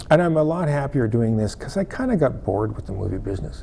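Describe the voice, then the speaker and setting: Over noticeable background noise, a man at a medium pitch speaks with lively intonation. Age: 60s. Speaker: former film lighting technician, non-profit founder. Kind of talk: interview. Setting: television studio. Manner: halting, with many repetitions.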